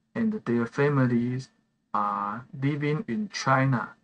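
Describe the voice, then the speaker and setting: With a Taiwanese accent, a man speaks very slowly in a bright, sharp tone, his pitch swinging very widely. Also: dry, close sound with no echo. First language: Mandarin Chinese. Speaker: gaming live streamer. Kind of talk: casual live stream chat. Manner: halting, many fillers and repeats.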